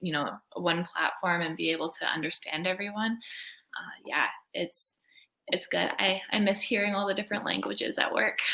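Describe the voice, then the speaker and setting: A woman speaks in a normal speaking voice with a Canadian accent. Her pitch is medium and her intonation fairly even. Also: moderate pace. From Canada. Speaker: co-op student. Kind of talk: casual interview.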